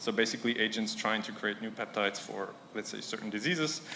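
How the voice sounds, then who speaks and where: A very fast-talking man at medium pitch, ordinary pitch movement, and audible room echo. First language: not English. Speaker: conference speaker, science startup founder. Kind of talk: conference talk. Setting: stage with audience. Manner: hesitant, with fillers.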